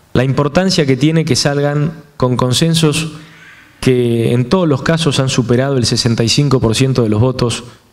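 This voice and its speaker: A man speaks at a medium pitch. Background noise is noticeable. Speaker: politician. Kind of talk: speech. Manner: formal.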